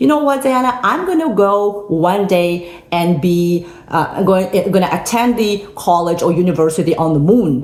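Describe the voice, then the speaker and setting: A woman with a non-native accent talks at a moderate pace in an animated tone, her medium-pitched voice showing lively intonation and very even loudness, with noticeable background noise and audible room echo. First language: not English. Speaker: motivational speaker. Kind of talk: motivational talk.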